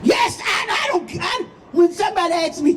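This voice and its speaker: Amid noticeable background noise, a woman speaks in an animated tone. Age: 80s+. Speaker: activist pastor. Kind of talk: rally speech. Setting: outdoor rally.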